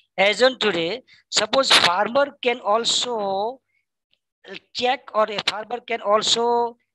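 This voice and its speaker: A woman speaks in a Gujarati accent at a fairly high pitch with a bright, sharp tone. Her intonation is fairly even, and the sound is dry and close with no echo. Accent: Indian English, Gujarati. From India, Gujarat. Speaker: librarian, audience questioner. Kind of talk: Q&A question at webinar. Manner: halting, many fillers.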